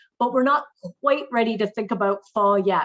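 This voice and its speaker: A woman with a Canadian accent and an ordinary speaking voice talks at a fairly quick pace, her medium pitch showing ordinary variation. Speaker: tourism marketing manager. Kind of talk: webinar presentation.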